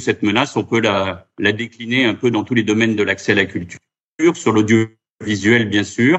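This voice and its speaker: Medium-pitched male speech in an ordinary speaking voice, moderate in pace, with fairly even intonation. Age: 50s. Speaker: round-table moderator, association president. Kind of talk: round-table moderation.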